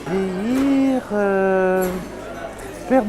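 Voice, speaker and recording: Background noise is clearly audible while a woman talks with normal rise and fall in her pitch. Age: 60s. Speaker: retiree interviewee. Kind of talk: interview answers.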